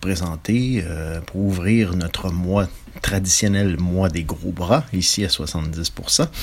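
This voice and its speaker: Very slow pace and ordinary pitch variation, with noticeable background noise. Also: man. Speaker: film presenter. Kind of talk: film introduction.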